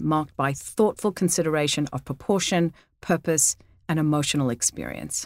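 Fairly quick speech in an Australian accent, dry and close with no echo, on a very clean recording with a silent background. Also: woman. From Australia, Sydney. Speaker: podcast host, real estate. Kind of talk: interview; reading a scripted introduction.

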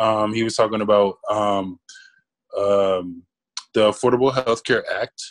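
A man at a fairly slow pace, fairly low in pitch, with a DC area accent. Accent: DMV urban American English. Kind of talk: casual banter among friends, podcast. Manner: animated, profane.

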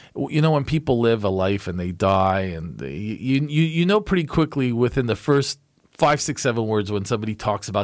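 Over a silent background in a very clean recording, a normal speaking voice moves at a fairly quick pace with lively intonation. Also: man. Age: 50s. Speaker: lawyer and political commentator. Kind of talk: casual chat.

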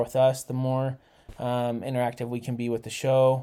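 On a very clean recording with a silent background, a dark, mellow voice with an American accent moves at a fairly quick pace. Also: man. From Utah. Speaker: junior high teacher. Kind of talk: casual chat.

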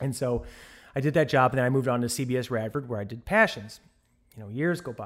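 Someone with an American accent talks at a very fast pace, with big swings in loudness and ordinary pitch variation. The recording is very clean, with a silent background. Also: man, medium pitch for a man. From US Midwest, St. Louis, Missouri. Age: 40s. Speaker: television director. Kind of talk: interview conversation.

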